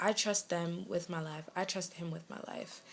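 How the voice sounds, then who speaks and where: A woman speaks with a slight West Indian accent. Her medium-pitched voice has fairly even intonation. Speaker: lifestyle vlogger. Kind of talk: casual vlog update. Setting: bedroom at home.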